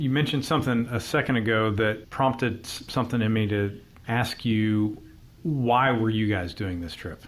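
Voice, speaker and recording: A man speaks at a moderate pace in a normal speaking voice, medium in pitch with ordinary variation. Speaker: podcast host. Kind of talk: interview questions.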